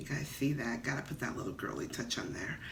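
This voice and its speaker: Audible room echo surrounds a woman whose pitch sits very deep and low. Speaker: spiritual card reader. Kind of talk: card reading vlog. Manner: mellow, relaxed.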